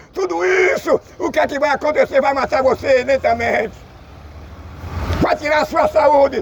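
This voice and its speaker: A man talks at a moderate pace. Crowd noise is audible behind him. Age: 60s. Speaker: street preacher. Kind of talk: sermon.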